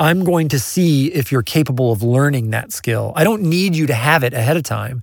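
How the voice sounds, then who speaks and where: An unremarkable speaking voice with an American accent moves at a moderate pace with lively intonation over a very clean recording and a silent background. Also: man. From US Midwest, Kansas City. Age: 40s. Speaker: music producer and mixer. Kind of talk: casual interview chat. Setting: in person.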